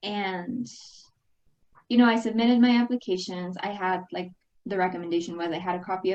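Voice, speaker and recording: Speaking at a moderate pace with a Spanish accent, a woman uses a medium pitch and ordinary pitch variation. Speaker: alumna and international graduate on career panel. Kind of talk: panel discussion.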